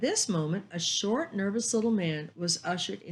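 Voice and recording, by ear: This is a person reading aloud in a natural voice.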